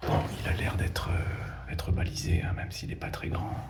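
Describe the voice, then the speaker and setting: Soft-spoken at a fairly slow pace, a man uses a very deep, low pitch with ordinary pitch variation, heard over noticeable background noise and audible room echo. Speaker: urban explorer, video creator. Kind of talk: guided exploration commentary. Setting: inside a bunker. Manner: soft-spoken, hushed; hesitant, many fillers.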